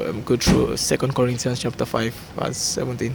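Over noticeable background noise, a man talks at a fairly quick pace and medium pitch. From Nigeria. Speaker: footballer.

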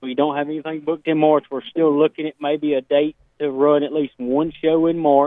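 Talking at a fairly quick pace, a man with an American accent has a fairly high pitch and monotone, flat intonation. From Portsmouth, Ohio, US. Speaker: dirt racing series organizer. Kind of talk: radio interview.

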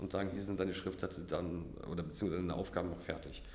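This man has a very deep, low voice that is somewhat breathy, with fairly even intonation. Audible room echo surrounds his speech. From Mecklenburg-Vorpommern, northeastern Germany. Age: 30s. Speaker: criminal defence lawyer. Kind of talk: interview.

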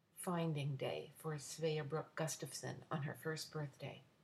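Warm in tone and somewhat breathy, a woman's voice moves at a fairly slow pace. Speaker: podcaster and poet. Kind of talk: poetry reading, intimate and personal. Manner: warm, tender, measured pace, lyrical.

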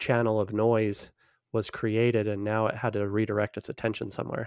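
Against a quiet background, a man speaks at a moderate pace with a fairly low pitch. His intonation is monotone and flat, and the sound is dry and close with no echo. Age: 40s. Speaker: entrepreneur. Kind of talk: interview.

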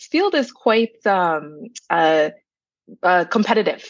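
A woman with a Toronto accent at medium pitch and a very slow pace. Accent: Toronto Canadian English. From Canada, Brampton, Ontario (Toronto area), Jamaican family. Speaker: content creator. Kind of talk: casual interview.

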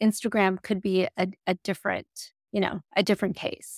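A woman with a plain, everyday voice talks at a moderate pace and medium pitch. The recording is very clean with a silent background, and the sound is dry and close with no echo. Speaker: podcast host. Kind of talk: interview podcast.

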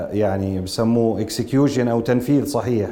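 A man's medium-pitched voice, fairly slow and fairly even in intonation, with audible room echo. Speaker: son of late actor, arts worker. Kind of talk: interview.

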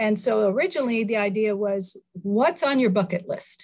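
A woman with an American accent speaks in a somewhat breathy, fairly high voice with ordinary pitch variation. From US Midwest. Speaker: movie theater owner. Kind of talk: casual interview.

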